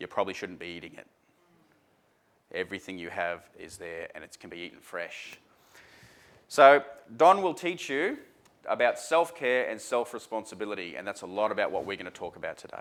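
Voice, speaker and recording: Here a man speaks at a fairly quick pace with an Australian accent. He leaves long, frequent pauses, his pitch swings very widely, and his loudness varies a lot. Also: medium pitch for a man. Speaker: seminar speaker. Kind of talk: seminar talk to audience. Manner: animated.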